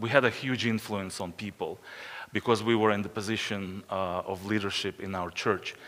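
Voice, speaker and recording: A man's voice, very clean recording, silent background. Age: 50s. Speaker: missionary pastor. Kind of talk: conference presentation. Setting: conference breakout session with audience. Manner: hesitant, many fillers.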